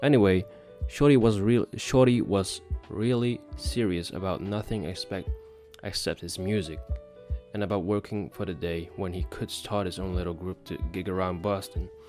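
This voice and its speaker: Music plays behind a man with a very deep, low voice. He talks at a moderate pace. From Netherlands. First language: Dutch. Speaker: English learner. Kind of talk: book read-aloud practice. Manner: halting, with repeated words.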